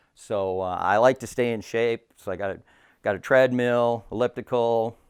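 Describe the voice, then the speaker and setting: Fairly even intonation and a moderate pace in an American accent, on a very clean recording with a silent background. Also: man, medium pitch for a man. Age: 60s. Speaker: deer hunter. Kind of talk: casual chat. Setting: at home. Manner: halting.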